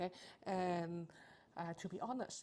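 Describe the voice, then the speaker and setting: At a moderate pace, a woman with a non-native accent speaks at a medium pitch in a dark, mellow tone. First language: not English. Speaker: accounting tutor. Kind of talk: tutorial. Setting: live stream. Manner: hesitant, frequent fillers.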